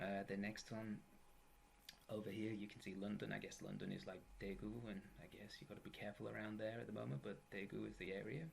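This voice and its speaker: Speaking with an English accent, a man has a fairly low pitch and ordinary pitch variation. He moves at a fairly quick pace over light background noise. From England, east coast. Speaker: university English teacher. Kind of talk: lecture. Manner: casual, joking. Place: home room. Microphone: webcam.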